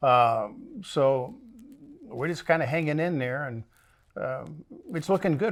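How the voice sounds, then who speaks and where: This man's fairly high voice moves with ordinary pitch variation. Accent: American. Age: 60s. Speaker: western film set owner and trick roper. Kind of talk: interview. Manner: halting.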